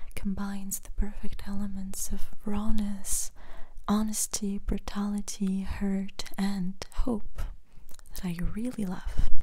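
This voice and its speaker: The voice is soft-spoken and very slow. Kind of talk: casual talk about books.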